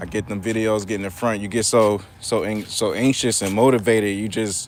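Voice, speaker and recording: Fairly low in pitch, a man talks at a fairly quick pace with monotone, flat intonation. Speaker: therapist and YouTuber reading live chat. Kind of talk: casual live-stream chat while walking. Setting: outdoors at a park. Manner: fast.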